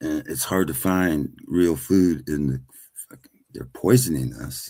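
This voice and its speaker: Speaking fairly slowly, a man uses a very deep, low pitch marked by vocal fry. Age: 60s. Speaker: panel participant. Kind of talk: casual chat.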